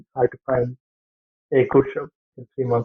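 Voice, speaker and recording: A man speaks with a Bangladeshi accent. His pitch is medium and his pace fairly quick. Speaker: aviation engineering student and trainee pilot. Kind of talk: interview answer.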